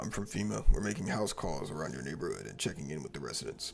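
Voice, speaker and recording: Putting on a raspy character voice, a man talks at a very fast pace over clear background noise. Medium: game stream. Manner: formal.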